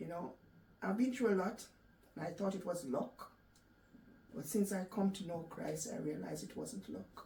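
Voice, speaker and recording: Speech moves at a moderate speed with long pauses that come often, over noticeable noise in the background. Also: woman. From Jamaica. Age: 60s. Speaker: cancer survivor. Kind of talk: interview.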